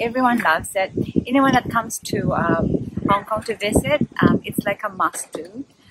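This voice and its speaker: Noticeable background noise surrounds a woman speaking at a moderate pace. Her voice sounds dry, with no echo, and has ordinary pitch variation. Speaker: travel vlogger. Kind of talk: casual vlog chat. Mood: cheerful, chatty. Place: waterside. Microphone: phone near.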